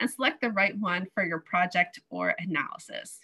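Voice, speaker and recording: In a bright, sharp tone, a woman talks at a moderate pace. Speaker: webinar moderator. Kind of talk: webinar hosting. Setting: video call. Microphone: video call.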